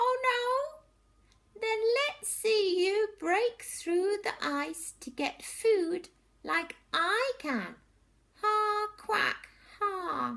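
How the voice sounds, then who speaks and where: A woman's put-on character voice, squeaky and extremely high in pitch, at a very slow pace. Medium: read story.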